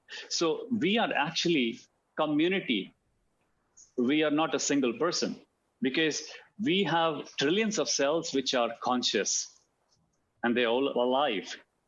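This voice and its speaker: Speaking with an Indian accent, a man keeps a fairly slow pace and very even loudness, his intonation lively and his speech marked by long, frequent pauses. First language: Hindi. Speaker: alternative medicine practitioner. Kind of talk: talk. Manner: halting, many fillers and repeats.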